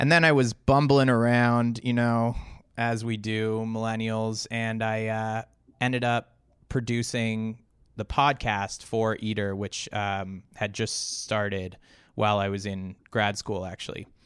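A man's unremarkable speaking voice at medium pitch, fairly slow, with fairly even intonation and a Canadian accent. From Toronto, Canada. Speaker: video producer and podcast co-host. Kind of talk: casual interview chat. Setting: remote video call.

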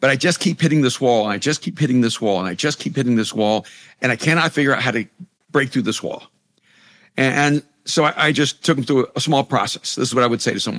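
A very fast-talking man of medium pitch, with ordinary pitch variation and a dry, close sound with no echo. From El Salvador. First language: Spanish. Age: 60s. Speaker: pastor and author. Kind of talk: interview conversation.

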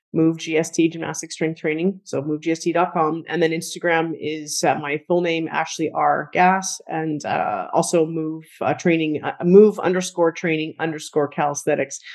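An ordinary speaking voice moves at a fairly slow pace with fairly even intonation. The background is quiet. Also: woman. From Canada. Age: 40s. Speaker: strength coach and gym owner. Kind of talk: interview conversation.

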